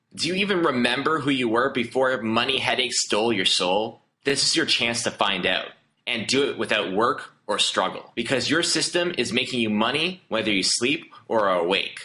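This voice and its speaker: Speaking at a moderate pace and medium pitch, a man with a Canadian accent uses lively intonation while keeping his loudness very even. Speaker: online marketer. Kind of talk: sales pitch. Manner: animated.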